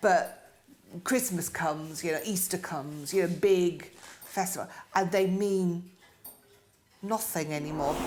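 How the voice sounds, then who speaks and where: Audible room echo surrounds a woman's fairly low voice as she talks at a fairly slow pace with ordinary pitch variation and long, frequent pauses. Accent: British. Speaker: stroke survivor. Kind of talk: interview. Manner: halting.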